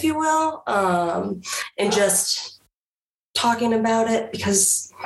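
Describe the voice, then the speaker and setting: A woman speaks fairly slowly with lively intonation. She has a normal speaking voice. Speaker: media specialist. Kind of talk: casual chat.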